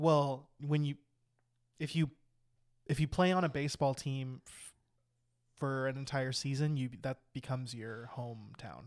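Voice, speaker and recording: With long, frequent pauses, a man of medium pitch talks in fairly even intonation. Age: 20s. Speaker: comedy podcast co-host. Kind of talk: casual chat. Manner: quiet at the beginning.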